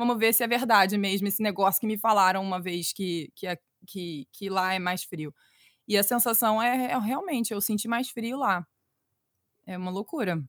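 In a very clean recording with a silent background and a dry, close sound without echo, a woman speaks in an ordinary speaking voice at medium pitch and a moderate pace with ordinary pitch variation. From Brazil, Rio de Janeiro. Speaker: children's storytelling podcaster. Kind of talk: casual interview chat.

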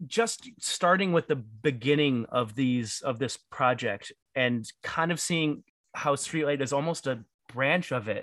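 A man's fairly high-pitched, ordinary speaking voice at a fairly slow pace, with ordinary pitch variation. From Detroit. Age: 30s. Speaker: podcast co-host. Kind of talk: casual chat.

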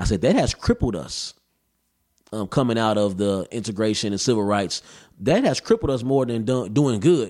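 Medium pitch and a moderate pace in a man's voice, a normal speaking voice. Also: ordinary pitch variation. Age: 20s. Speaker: rapper and activist. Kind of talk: casual chat. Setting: studio.

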